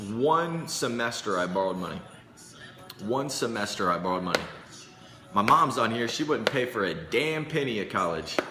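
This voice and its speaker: An animated speaker with an American accent talks at a moderate pace with lively intonation. Music plays behind the voice, and the room echo is audible. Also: man. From Indianapolis, US Midwest. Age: 20s. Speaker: sales coach livestreamer. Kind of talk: casual livestream sales pitch.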